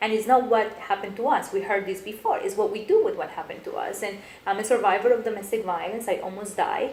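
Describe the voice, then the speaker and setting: A woman with a Colombian accent speaks at a very fast pace and a fairly high pitch. Audible room echo and noticeable background noise fill the recording. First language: Spanish. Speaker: business coach and motivational speaker. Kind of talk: interview. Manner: animated.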